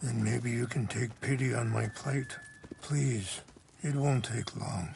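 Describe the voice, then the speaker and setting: This is a put-on character voice, raspy and at a fairly slow pace. Its loudness stays very even throughout. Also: man, medium pitch for a man. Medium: video game. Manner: calm, measured, reflective.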